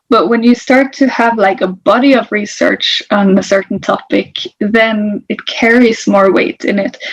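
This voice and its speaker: Fairly slow, hardly any pauses, ordinary pitch variation, in a Norwegian accent. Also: woman, fairly high pitch for a woman. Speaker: interculturalist. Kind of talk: interview.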